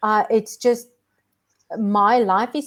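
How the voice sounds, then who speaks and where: A woman speaks with a South African accent at a fairly high pitch. Her intonation stays fairly even. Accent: Afrikaans South African. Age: 40s. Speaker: minimalist lifestyle content creator. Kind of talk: casual chat. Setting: live stream video call.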